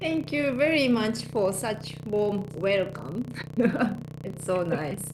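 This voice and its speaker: A woman's medium-pitched voice with a Japanese accent, very slow pace, audible room echo and noticeable background noise. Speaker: life coach and hypnotherapist. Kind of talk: casual interview conversation.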